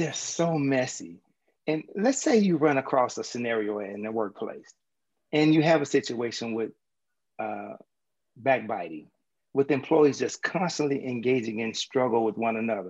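A man with a Southern US accent, medium in pitch, at a moderate pace with very wide pitch swings. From US South. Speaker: mindset coach and podcast host. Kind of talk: interview.

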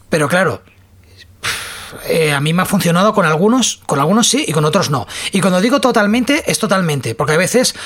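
A woman with a fairly low voice speaks at a moderate pace, swinging her pitch very widely over noticeable background noise. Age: 40s. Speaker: podcast host. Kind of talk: casual chat.

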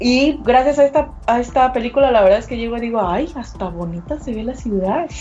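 A high-pitched woman's voice at a fairly quick pace with hardly any pauses, ordinary pitch variation and big swings in loudness, over music in the background. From Mexico. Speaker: sales manager. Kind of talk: remote interview.

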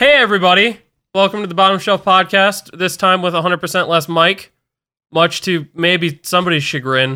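This man talks at a fairly quick pace in a high pitch for a man, with a bright, sharp tone, ordinary pitch variation, and a very clean recording over a silent background. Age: 20s. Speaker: podcast host. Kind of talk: casual chat.

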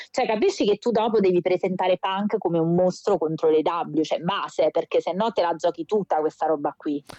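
A dark, mellow tone at a fairly quick pace, with hardly any pauses, ordinary pitch variation, and very even loudness. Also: woman, medium pitch for a woman. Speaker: wrestling podcast co-host. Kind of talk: casual chat. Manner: animated. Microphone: recording on phone, may sound distant.

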